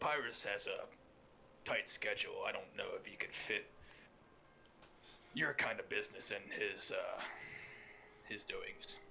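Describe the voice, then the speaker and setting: Over clear background noise, a man uses a raspy, put-on character voice at an extremely high pitch, speaking at a moderate pace with long, frequent pauses. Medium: actual play.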